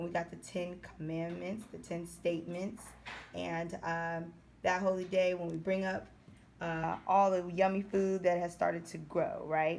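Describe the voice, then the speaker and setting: A woman speaks at a fairly slow pace with a fairly low pitch. Her intonation is flat and monotone, and the room echo is audible. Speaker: Hebrew language teacher. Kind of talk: tutorial.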